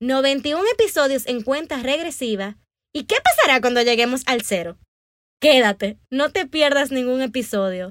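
Her voice is high in pitch, and she is a woman. She speaks at a fairly slow pace with lively intonation. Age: 20s. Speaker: podcast host and author. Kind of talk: scripted monologue.

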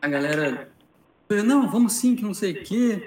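Audible room echo hangs around the speech. Its pitch moves across very wide swings. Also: man. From Rio de Janeiro. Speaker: tournament organizer and judge. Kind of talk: casual chat.

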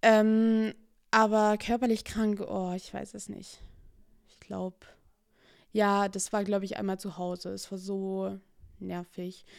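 Very slow speech broken by long, frequent pauses. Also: woman, medium pitch for a woman. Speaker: podcaster. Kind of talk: casual solo monologue. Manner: hesitant, many fillers.

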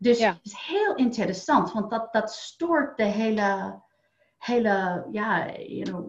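A woman's somewhat breathy, fairly high voice in an American accent, very slow in pace, with lively intonation. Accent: American accent in Dutch. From United States. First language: English (speaking Dutch). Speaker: wealth coach. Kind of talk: interview. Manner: halting, many fillers and repeats.

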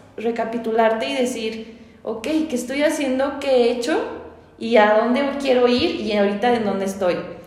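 A woman speaks at a moderate pace in a high pitch with ordinary pitch variation. The recording has noticeable background noise and audible room echo. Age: 20s. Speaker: community manager. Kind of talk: casual chat.

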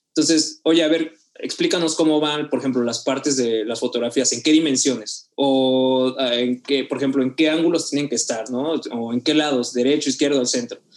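With a Mexican accent, a man talks at a moderate pace with hardly any pauses. His pitch is fairly high and his intonation fairly even. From Mexico, Oaxaca. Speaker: photographer and videographer. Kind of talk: casual interview.

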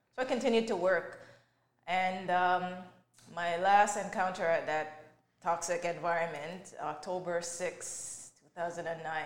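A woman's fairly low voice with fairly even intonation, at a fairly slow pace with long, frequent pauses and audible room echo. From Jamaica, moved to Canada at nine. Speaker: mental health advocate and author. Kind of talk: interview testimony.

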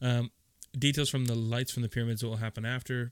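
An ordinary speaking voice uses fairly even intonation. The recording is very clean, with a silent background and a dry, close sound with no echo. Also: man. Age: 30s. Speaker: podcast co-host. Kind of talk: casual chat.

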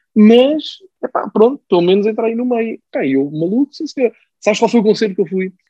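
A man speaks at a moderate pace in a high, dark and mellow voice with lively intonation, recorded dry and close with no echo. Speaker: football pundit and music journalist. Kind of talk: casual chat.

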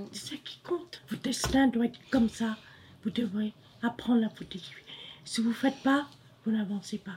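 A woman's fairly high voice at a moderate pace, with long, frequent pauses, ordinary pitch variation and big swings in loudness. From Cambodia. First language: Khmer (speaking French). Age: 60s. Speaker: refugee mother. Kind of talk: personal testimony.

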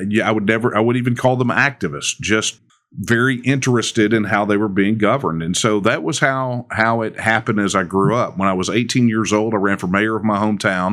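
This man speaks in a Texan accent at a fairly quick pace. He leaves hardly any pauses. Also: ordinary pitch variation, very clean recording, silent background. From Texas. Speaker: political movement leader. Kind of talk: interview.

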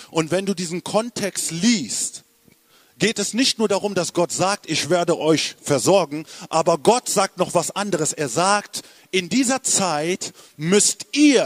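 Slow-ish and animated, a man with a high pitch and ordinary pitch variation is captured in a dry, close sound with no echo, at a fairly slow pace. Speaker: preacher. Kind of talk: sermon. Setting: church with live congregation. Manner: animated, urgent, rallying the congregation with call-and-response; emphatic, repeating phrases for effect.

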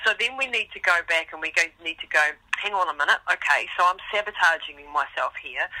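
Fairly quick, lively speech with big swings in loudness, a dry, close sound with no echo, and noticeable background noise. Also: woman, medium pitch for a woman. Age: 50s. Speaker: ultramarathon runner and mental toughness coach. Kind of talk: interview.

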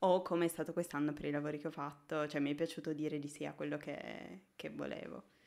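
A woman with a very deep, low voice and vocal fry talks at a very fast pace with hardly any pauses and fairly even intonation. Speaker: junior motion designer. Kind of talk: casual chat. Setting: live stream. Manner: shy.

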